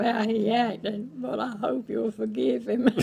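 The speaker talks at a fairly slow pace. Faint music plays in the background. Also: woman. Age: 80s+. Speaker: grandmother. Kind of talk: casual interview answer. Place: home room. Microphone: phone near.

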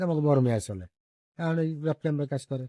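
A man talks in a dark, mellow tone with ordinary pitch variation. The recording is very clean, with a silent background. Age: 70s. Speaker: village elder, local resident. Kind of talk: interview testimony.

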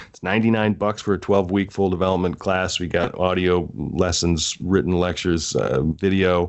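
A man's very deep, low voice in an American accent, with fairly even intonation, a moderate pace and hardly any pauses. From Wisconsin (Delavan). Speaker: podcast co-host and writing coach. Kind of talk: casual chat; sales pitch.

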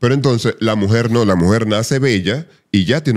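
The background stays quiet. In it, a man talks with lively intonation. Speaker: voice artist and psychologist; podcast guest or co-host. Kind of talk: casual chat. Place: studio. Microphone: studio mic.

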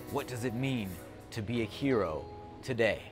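Clear music plays in the background as a man talks at a fairly slow pace with ordinary pitch variation. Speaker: travel show host. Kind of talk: piece to camera. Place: cafe. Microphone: lapel.

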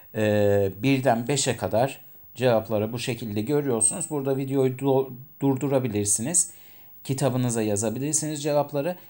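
At a moderate pace, a dark, mellow tone comes through with ordinary pitch variation in a very clean recording with a silent background. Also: man. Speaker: English teacher. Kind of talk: lecture. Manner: halting, many fillers.

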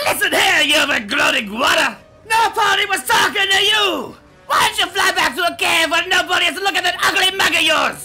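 Shouting in a raised voice, a man performs a put-on character voice at an extremely high pitch with a bright, sharp tone and lively intonation, with audible room echo and faint music in the background. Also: fairly quick pace, few pauses.

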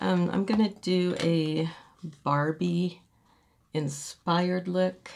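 Against light background noise, a woman speaks at a fairly low pitch with fairly even intonation. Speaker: beauty vlogger. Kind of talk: makeup tutorial. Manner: casual, chatty. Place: home room. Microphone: phone near.

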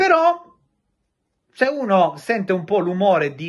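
A man with a high pitch speaks against a quiet background. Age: 30s. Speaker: football transfer journalist. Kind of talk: video monologue on football transfer news. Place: home room.

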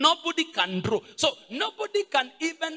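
A man uses a raised, projected voice at a fairly slow pace while faint music plays in the background. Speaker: pastor. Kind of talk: sermon. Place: church. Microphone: handheld.

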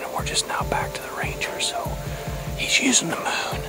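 A man at a moderate pace, with loud music in the background. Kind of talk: casual vlog chat. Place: open country. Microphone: phone near.

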